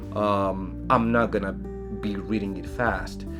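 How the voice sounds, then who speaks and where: A man talks with very wide swings in pitch. Behind him, music plays. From Chile. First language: Spanish. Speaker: science fiction author. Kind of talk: casual talk to camera. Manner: hesitant, filler-heavy.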